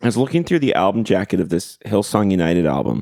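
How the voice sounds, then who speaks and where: Recorded dry and close with no echo, a man speaks at a fairly quick pace over a silent background on a very clean recording. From Ontario, Canada (Port Perry). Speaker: singer-songwriter and event promoter. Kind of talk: casual interview. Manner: animated.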